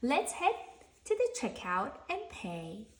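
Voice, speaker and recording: A woman's put-on character voice at an extremely high pitch and a fairly slow pace. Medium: read story. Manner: patient, gentle.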